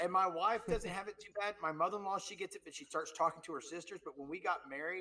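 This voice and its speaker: With an American accent, a man with a high pitch uses a raised, projected voice at a very fast pace, with hardly any pauses, ordinary pitch variation and big swings in loudness. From Texas. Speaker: podcast co-host and Twitch streamer. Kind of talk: casual chat. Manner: animated, filler-heavy.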